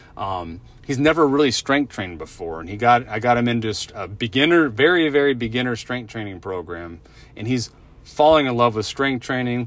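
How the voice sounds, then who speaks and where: In a plain, everyday voice of medium pitch, a man talks at a fairly quick pace, his loudness swinging widely. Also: lively intonation. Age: 40s. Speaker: health coach and podcast host. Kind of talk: solo podcast monologue. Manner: casual, many fillers and repetitions.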